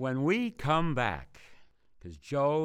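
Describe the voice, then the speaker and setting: A medium-pitched male voice, very cleanly recorded over a silent background. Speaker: podcast host. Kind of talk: interview.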